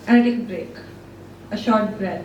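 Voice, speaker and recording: A woman talks at a moderate pace with a fairly high pitch. Noticeable background noise runs behind her. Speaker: spoken word poet. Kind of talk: spoken word poetry performance. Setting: live open mic.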